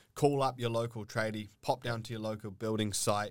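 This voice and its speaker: A man speaks with a New Zealand accent. His intonation is monotone and flat. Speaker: plumber and trade educator. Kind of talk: casual chat. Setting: studio.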